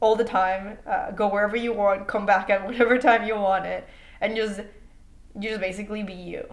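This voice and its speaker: A woman with a Mexican accent at a moderate pace, her intonation monotone and flat, with audible room echo. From Mexico. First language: Spanish. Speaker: international student. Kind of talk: interview. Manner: casual, with many fillers and repetitions.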